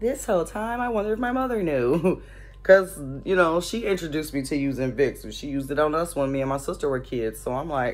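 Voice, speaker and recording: Faint music plays behind a woman with a very deep, low voice. She speaks very fast. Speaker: vlogger. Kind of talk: casual vlog chat. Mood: amused, chatty. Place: home room. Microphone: phone near.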